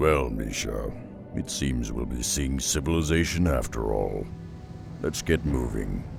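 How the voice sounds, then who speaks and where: Over loud background noise, a man performs a put-on character voice at a fairly slow pace. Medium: machinima. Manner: grave, measured.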